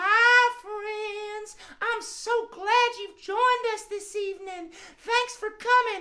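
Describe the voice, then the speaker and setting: In a put-on character voice, the speaker uses an extremely high pitch and a warm tone at a very slow pace. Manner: warm, welcoming.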